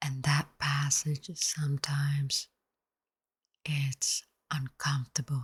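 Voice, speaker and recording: A soft-spoken, somewhat breathy woman with a very deep, low pitch, a calm tone and a monotone, flat intonation, at a very slow pace, in a dry, close sound with no echo. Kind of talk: soft-spoken ASMR meditation talk. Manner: soft-spoken, calm.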